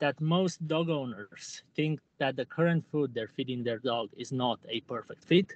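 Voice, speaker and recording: A man at a fairly high pitch and a very slow pace, with a dry sound, no echo and a quiet background. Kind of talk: sales pitch. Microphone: poor audio; video call.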